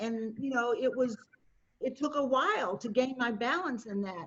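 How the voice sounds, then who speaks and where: A woman with a high pitch speaks at a fairly slow pace, with ordinary pitch variation. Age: 60s. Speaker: panelist, community advocate. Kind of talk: panel discussion.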